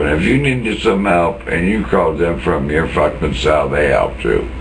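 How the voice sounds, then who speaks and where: This man has a very deep, low voice and lively intonation. Audible room echo and noticeable background noise surround him. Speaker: former jail inmate. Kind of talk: angry rant monologue. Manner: slow; animated.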